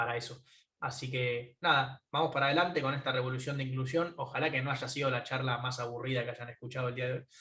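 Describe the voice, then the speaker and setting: This man speaks in a Rioplatense accent at a very fast pace. His intonation stays flat and monotone. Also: medium pitch for a man. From Argentina, Buenos Aires. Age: 20s. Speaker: tech entrepreneur. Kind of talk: closing conference talk. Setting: remote talk from home.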